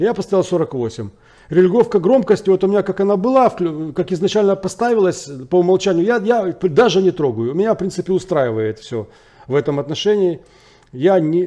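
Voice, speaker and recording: A man with a dark, mellow tone and a high pitch speaks at a moderate pace, with lively intonation and long, frequent pauses. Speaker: tech product reviewer. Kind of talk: product review. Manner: halting, many filler words.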